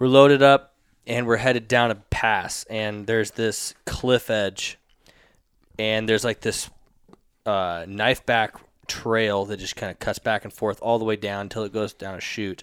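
A man with a plain, everyday voice talks at a fairly slow pace, his fairly low pitch held in fairly even intonation, on a very clean recording with a silent background. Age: 20s. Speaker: hunting videographer. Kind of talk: casual chat.

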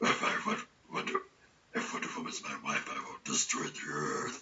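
A man's raspy, put-on character voice at an extremely high pitch and a fairly slow pace. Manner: menacing villain.

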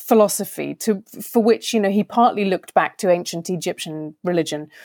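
A woman at a moderate pace with very wide pitch swings, in a dry, close sound with no echo and a very clean recording against a silent background. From rural England. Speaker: novelist and critic. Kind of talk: interview.

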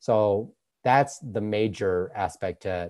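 Over a quiet background, a man speaks at a fairly low pitch in a dark, mellow tone. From Utah. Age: 20s. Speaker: nutrition coach. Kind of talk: interview.

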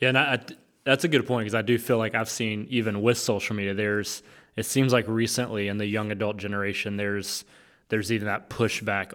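A man with a plain, everyday voice talks at a fairly quick pace in a fairly low pitch, on a very clean recording with a silent background. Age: 30s. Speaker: associate pastor. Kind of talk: casual chat.

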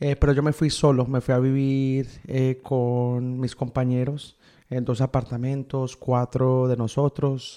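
A man speaks at a very slow pace in a medium pitch, his intonation monotone and flat. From Miami, US (raised from age 9; born Medellín, Colombia). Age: 30s. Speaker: pharmacist. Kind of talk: interview. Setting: in person in Montreal.

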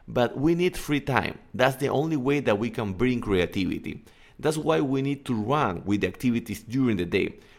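In a very clean recording with a silent background, a man with a Spanish accent talks at a moderate pace, medium in pitch, with lively intonation. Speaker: English coach and podcaster. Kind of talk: casual solo podcast monologue.

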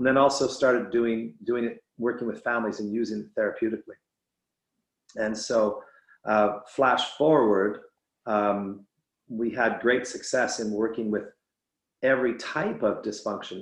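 A man's voice at medium pitch and a moderate pace, fairly even in intonation, with long, frequent pauses. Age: 50s. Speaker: addiction specialist. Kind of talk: interview conversation.

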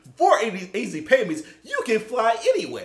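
A man's put-on character voice at an extremely high pitch and moderate pace. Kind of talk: advertising pitch. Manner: salesy, pitching.

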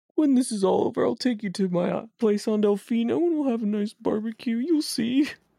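With hardly any pauses, a female-sounding put-on character voice runs at a fairly high pitch for a woman. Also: fairly quick pace. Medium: actual play. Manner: warm, friendly.

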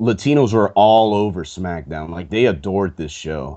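A man with a plain, everyday voice speaks at a fairly low pitch with lively intonation. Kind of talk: casual chat.

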